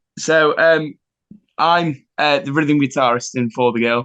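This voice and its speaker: A man with an East Midlands accent speaks at a fairly slow pace. His pitch varies in an ordinary way. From England, Nottingham. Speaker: rock band rhythm guitarist. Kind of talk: casual interview chat. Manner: hesitant, many fillers.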